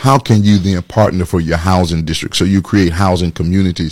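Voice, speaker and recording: Here a man talks at a fairly quick pace in an ordinary speaking voice with a fairly low pitch. The recording is very clean, with a silent background and a dry, close sound with no echo. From Atlanta, Georgia, US South. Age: 50s. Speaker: pastor and political candidate. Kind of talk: interview.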